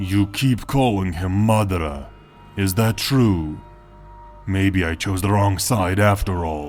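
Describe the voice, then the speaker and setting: Over clear background music, a man does a put-on character voice, very deep and low in pitch, with ordinary pitch variation at a fairly slow pace. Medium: read story. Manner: cold, curt.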